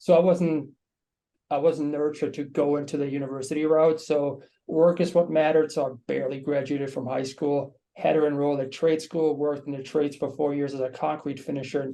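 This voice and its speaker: A man with a German accent has a fairly high but dark, mellow voice, speaking fairly quickly in a monotone, flat intonation. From Germany. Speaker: marketing team member. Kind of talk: webinar panel discussion.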